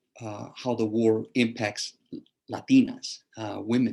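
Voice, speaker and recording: A man speaks with a South Texas accent at a fairly slow pace. The recording is very clean, the background silent. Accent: South Texas American English. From South Texas, Rio Grande Valley. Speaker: history professor. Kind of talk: lecture.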